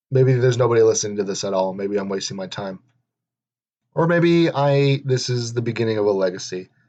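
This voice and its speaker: Pausing long and often, a man speaks at a medium pitch. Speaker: podcaster. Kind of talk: casual monologue. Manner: monotone; halting.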